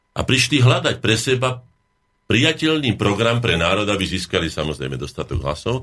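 A man's bright, sharp voice with vocal fry and very wide pitch swings, at a moderate pace, on a very clean recording with a silent background. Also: medium pitch for a man. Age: 60s. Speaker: academic painter. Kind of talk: radio talk show interview.

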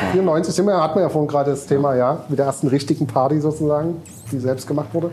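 Speaking very fast, a man holds a fairly high pitch, fairly even intonation and very even loudness. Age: 40s. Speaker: DJ and festival organizer. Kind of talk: casual chat. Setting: club venue.

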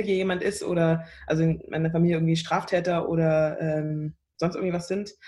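With a somewhat breathy, fairly low voice, a woman talks at a fairly quick pace. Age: 20s. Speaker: singer-songwriter. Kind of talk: interview. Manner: hesitant, many fillers.

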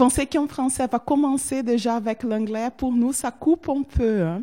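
A woman speaks in a dark, mellow tone with ordinary pitch variation. The sound is dry and close with no echo, very clean, over a silent background. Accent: Portuguese. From southern Brazil, Porto Alegre. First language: Portuguese (speaking French). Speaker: Brazilian visitor to France. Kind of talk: interview. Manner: hesitant with many fillers.

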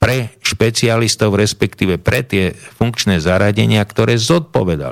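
Here is a man with a plain, everyday voice. He speaks at a fairly slow pace and a fairly low pitch. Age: 60s. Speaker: former police investigator. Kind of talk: studio interview. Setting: studio.

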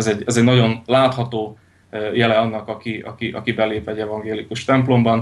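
A man's medium-pitched voice at a very fast pace, in monotone, flat intonation. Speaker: Lutheran pastor. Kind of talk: radio interview. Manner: halting, many repetitions and fillers.

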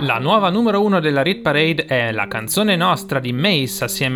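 Against noticeable background noise, a man's fairly high voice makes very wide pitch swings. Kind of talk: radio DJ patter, chart countdown show presenting songs. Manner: upbeat, energetic, fluent, welcoming radio-host delivery.

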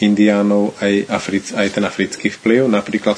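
This man's fairly low voice moves at a moderate speed, his intonation monotone and flat. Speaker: interpreter. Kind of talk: consecutive interpreting. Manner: halting.

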